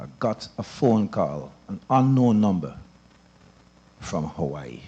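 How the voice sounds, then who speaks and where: Fairly low in pitch, a man's voice has a dark, mellow tone, a very slow pace, very wide pitch swings and big swings in loudness. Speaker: town hall audience member. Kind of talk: public forum testimony. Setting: church hall town hall meeting.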